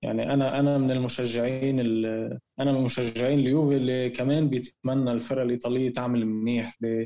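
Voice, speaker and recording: A man's medium-pitched voice, dark and mellow, at a moderate pace with flat, monotone intonation, very even loudness and hardly any pauses. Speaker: podcast co-host, football fan. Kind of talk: casual chat. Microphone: connection sometimes cutting out.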